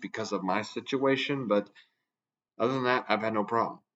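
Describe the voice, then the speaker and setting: This is a man's voice. His intonation is monotone and flat. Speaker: radio hobbyist YouTuber. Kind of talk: casual vlog monologue. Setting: recording to camera. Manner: hesitant, many fillers.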